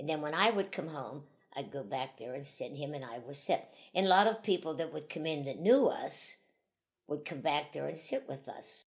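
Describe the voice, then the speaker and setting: In a western Pennsylvania accent, a woman with a very deep, low pitch speaks at a moderate pace, her intonation lively and her loudness swinging widely. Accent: western Pennsylvania American. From western Pennsylvania, US (Vandergrift). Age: 80s+. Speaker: elderly woman sharing life memories. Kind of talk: oral history interview. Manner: conversational, rambling with self-corrections.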